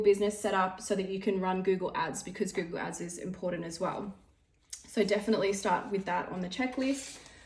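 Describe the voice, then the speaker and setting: A woman's somewhat breathy voice at a fairly quick pace. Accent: Australian. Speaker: beauty business owner and trainer. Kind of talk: tutorial. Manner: fast.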